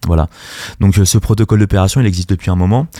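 A man speaks in a very deep, low voice with a dark, mellow tone and fairly even intonation. The recording is very clean, with a silent background. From Paris region (Seine-Saint-Denis). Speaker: music studio manager and artist coach. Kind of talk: radio interview. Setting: radio studio.

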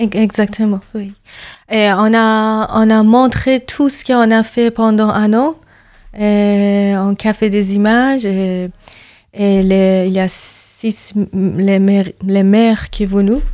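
A woman with a Persian accent at a very slow pace, with fairly even intonation. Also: medium pitch for a woman. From Iran. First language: Persian (speaking French). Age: 30s. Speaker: activist and yoga teacher. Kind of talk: interview testimony. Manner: halting.

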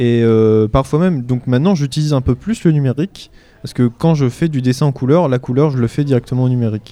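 A man at a very fast pace, with medium pitch and a dark, mellow tone. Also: ordinary pitch variation. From France, Normandy (Orne). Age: 20s. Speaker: illustrator. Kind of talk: live radio interview before audience. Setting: stage with audience. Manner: halting.

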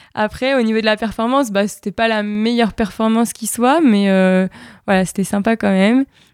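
In a plain, everyday voice, a woman speaks at a moderate pace with fairly high pitch and fairly even intonation. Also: very clean recording, silent background. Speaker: athlete. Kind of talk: interview.

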